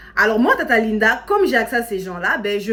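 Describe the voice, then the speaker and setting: The tone is animated, and the pace is moderate. Background noise is noticeable. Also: woman. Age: 30s. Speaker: social media content creator. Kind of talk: casual motivational talk to camera. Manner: animated, conversational.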